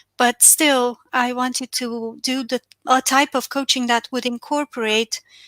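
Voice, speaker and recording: A woman with a Romanian accent speaks at a high pitch and a fairly slow pace, her tone bright and sharp, her intonation monotone and flat, and the sound dry and close with no echo. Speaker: financial and business coach. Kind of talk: webinar talk.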